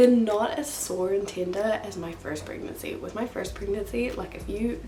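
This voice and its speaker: A woman with a New Zealand accent is heard through audible room echo and noticeable background noise. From New Zealand, northern. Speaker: vlogger. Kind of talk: casual chat. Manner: quiet, low energy; talking louder over fan.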